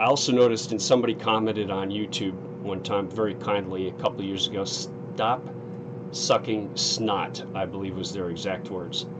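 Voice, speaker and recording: A man with a fairly low pitch speaks at a moderate pace, his intonation lively. Audible room echo and noticeable background noise are present. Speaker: gaming streamer. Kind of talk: let's play live stream commentary. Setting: home streaming setup with headset. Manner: casual, hesitant with fillers.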